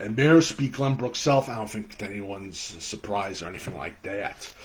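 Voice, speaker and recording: Somewhat breathy, a man talks at a fairly quick pace, his pitch swinging very widely. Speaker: football podcast host. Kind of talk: live webcast commentary. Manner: halting, many fillers; enthusiastic.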